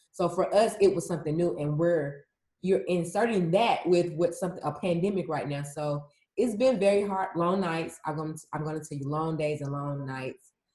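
A woman's fairly low, somewhat breathy voice with ordinary pitch variation and a fairly quick pace. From US South, Atlanta, Georgia. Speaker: emergency management specialist. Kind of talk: interview. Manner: casual.

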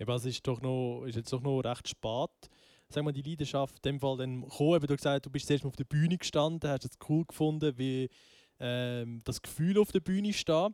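A dark, mellow tone comes at a moderate pace in a dry, close sound with no echo, on a very clean recording with a silent background. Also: man, fairly high pitch for a man, ordinary pitch variation. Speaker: podcast host. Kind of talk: casual chat. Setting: band rehearsal room.

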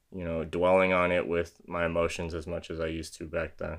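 A man's very deep, low voice with a Californian accent, flat and monotone, against a quiet background. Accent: Californian American. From San Diego, California. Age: 20s. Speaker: YouTuber and music industry manager. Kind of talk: casual monologue video podcast.

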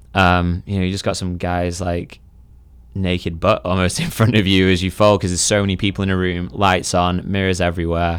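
A man with a very deep, low pitch and a Mancunian accent, monotone and flat at a fairly quick pace, on a very clean recording with a silent background. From England, Manchester area (Sale). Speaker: personal trainer. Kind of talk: casual interview conversation.

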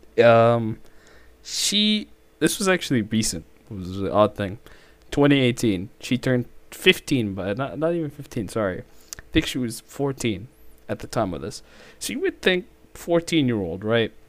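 A man speaks with very wide pitch swings and long, frequent pauses. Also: medium pitch for a man, moderate pace. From Middle East. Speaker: college student. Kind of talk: casual chat.

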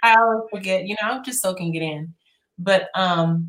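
A woman talks at a fairly slow pace. She has a plain, everyday voice at a medium pitch. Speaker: show co-host. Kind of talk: casual chat. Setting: video call.

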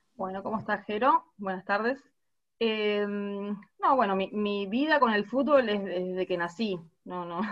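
Ordinary pitch variation in a woman's voice, at a fairly slow pace. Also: medium pitch for a woman. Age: 30s. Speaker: women's football captain. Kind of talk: interview. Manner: halting, repeats words.

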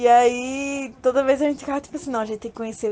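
Noticeable background noise accompanies a woman who talks fairly quickly. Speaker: interviewed fan. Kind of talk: personal storytelling.

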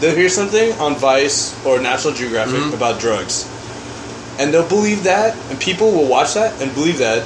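Noticeable background noise sits under the recording. A man talks at a moderate pace with lively intonation. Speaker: podcast co-host. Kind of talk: casual banter among friends.

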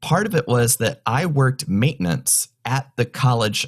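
Someone with an American accent and an unremarkable speaking voice talks at a fairly slow pace with lively intonation. The recording is very clean with a silent background, and the sound is dry and close with no echo. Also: man. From North Carolina mountains. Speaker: mentalist, stage magician. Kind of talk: interview, casual chat.

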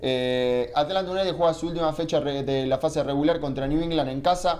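A man with an Argentine accent and a fairly high pitch. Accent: Argentine (Rioplatense) Spanish. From Argentina. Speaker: football pundit. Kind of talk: casual chat.

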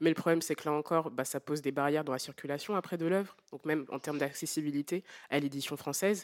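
A woman's very deep, low voice at a very fast pace, with fairly even intonation over a very clean recording and a silent background. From Martinique. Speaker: novelist. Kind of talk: public book club discussion. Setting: live venue with audience.

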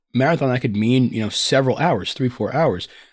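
A man's medium-pitched voice with ordinary pitch variation, in a very clean recording against a silent background. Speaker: podcast co-host and trader. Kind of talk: casual chat. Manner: halting, many fillers.

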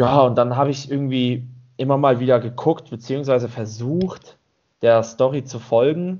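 At a moderate pace, a man with an ordinary speaking voice talks at medium pitch with fairly even intonation. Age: 30s. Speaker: podcast co-host. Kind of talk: casual chat.

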